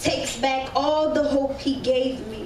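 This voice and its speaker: The speaker uses an American accent at a fairly slow pace. Light background noise and audible room echo are present. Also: woman. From US South, New Orleans; Louisiana. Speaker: spoken word poet. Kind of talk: spoken word performance. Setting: stage with audience. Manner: animated. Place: stage.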